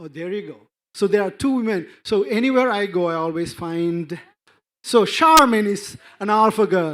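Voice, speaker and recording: Speech with an Indian accent comes at a moderate pace, with lively intonation and big swings in loudness. The recording is very clean, with a silent background. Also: man. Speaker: NGO representative. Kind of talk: conference panel talk. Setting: conference stage with audience. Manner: halting, many fillers and restarts.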